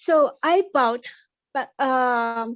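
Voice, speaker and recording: Here a woman speaks at a high pitch with a non-native accent. Her pitch variation is ordinary. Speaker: participant. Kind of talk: group video discussion. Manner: halting.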